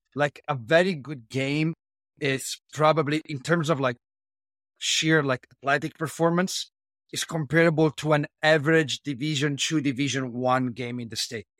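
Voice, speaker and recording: A man with an Italian accent and fairly even intonation, in a very clean recording with a silent background, dry and close with no echo. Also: fairly high pitch for a man, moderate pace. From Italy. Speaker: strength and conditioning coach. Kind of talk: interview.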